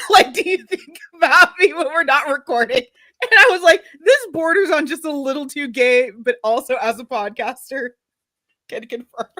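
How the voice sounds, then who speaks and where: In an American accent, the speaker uses a raised, projected voice with a bright, sharp tone, an animated delivery and very wide pitch swings at a moderate pace. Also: woman, high pitch for a woman. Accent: American, slightly Texan. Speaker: podcast co-host. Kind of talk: casual chat. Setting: live stream.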